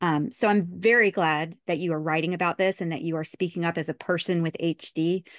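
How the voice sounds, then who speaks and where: A woman with a normal speaking voice talks at a fairly quick pace with hardly any pauses, in a fairly low pitch and fairly even intonation. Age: 30s. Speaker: podcast host. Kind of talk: interview.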